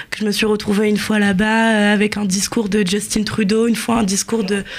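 Pitched fairly high, a woman talks at a moderate speed. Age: 20s. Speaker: journalist. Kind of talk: radio interview.

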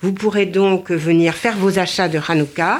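The woman's medium-pitched voice moves at a very slow pace. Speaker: charity volunteer. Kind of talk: radio interview.

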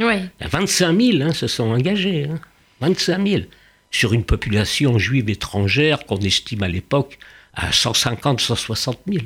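A man talks very slowly at a medium pitch. His pitch swings very widely. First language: Yiddish (speaking French). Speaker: painter and Holocaust-era witness. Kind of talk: testimony interview. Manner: halting, repetitive.

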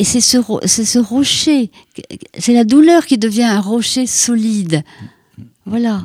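A woman with a fairly high pitch speaks very slowly, leaving long, frequent pauses. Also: ordinary pitch variation. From Brittany, Finistère. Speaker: writer. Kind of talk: radio interview.

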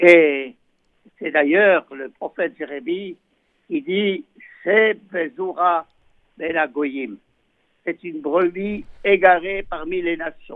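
At a very slow pace, a high-pitched man speaks with ordinary pitch variation, big swings in loudness and long, frequent pauses. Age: 80s+. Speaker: rabbi. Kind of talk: religious teaching. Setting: phone call.

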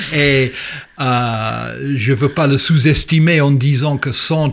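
A man with an English accent and ordinary pitch variation. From England. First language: English (speaking French). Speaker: history professor. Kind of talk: interview. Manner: halting.

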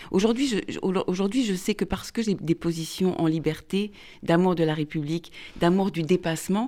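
A woman is speaking. Her pace is moderate. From France. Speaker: author. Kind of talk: radio interview. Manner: halting.

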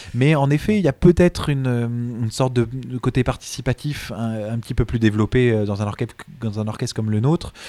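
With a dark, mellow tone and a medium pitch, a man talks at a fairly quick pace. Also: ordinary pitch variation. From France, Montreuil near Paris. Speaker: cellist and conductor. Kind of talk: interview. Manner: halting, many hesitations.

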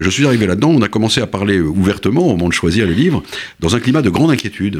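Very fast speech from a man, full of very wide pitch swings. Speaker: author and essayist. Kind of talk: interview. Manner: halting, many repetitions and hesitations.

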